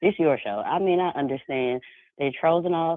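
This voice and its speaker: A woman is speaking. She has an American accent. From US South, South Carolina. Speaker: caller. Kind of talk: phone-in call. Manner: animated.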